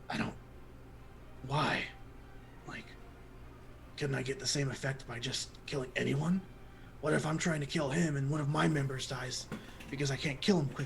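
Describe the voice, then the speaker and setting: A man puts on a character voice at a medium pitch and a moderate pace. Long, frequent pauses come through over clear background noise. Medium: actual play. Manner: hesitant.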